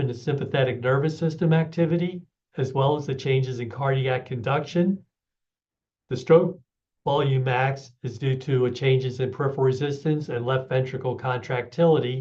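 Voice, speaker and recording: With a somewhat breathy quality, this man's voice keeps a fairly even intonation. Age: 70s. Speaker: physiology professor. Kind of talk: lecture.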